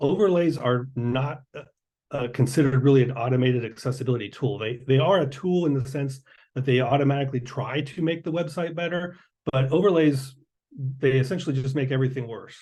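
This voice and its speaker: A man with a somewhat breathy, medium-pitched voice talks at a fairly quick pace with ordinary pitch variation. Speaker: accessibility specialist presenting at a conference. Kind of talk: conference presentation with Q&A. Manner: fast.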